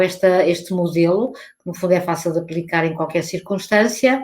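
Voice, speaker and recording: The voice carries an audible room echo. The speaker talks with a European Portuguese accent. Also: woman. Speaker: academic researcher. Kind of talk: conference talk. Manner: halting.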